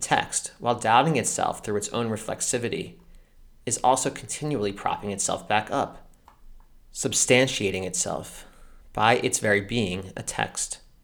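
Speaking with an American accent, a man uses a normal speaking voice at a fairly low pitch. His pace is moderate and his intonation lively. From United States. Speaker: podcast host, literature and Torah commentator. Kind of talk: scripted narration. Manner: formal.

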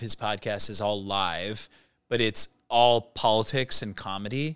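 A normal speaking voice at a fairly slow pace, fairly even intonation, very clean recording with a silent background. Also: man. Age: 30s. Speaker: coffee roaster. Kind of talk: casual chat.

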